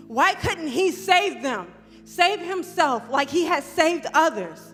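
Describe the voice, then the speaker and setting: A woman speaks with an extremely high pitch at a very slow pace. Music plays in the background. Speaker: spoken word poet. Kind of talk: spoken word poetry performance. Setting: church, live performance.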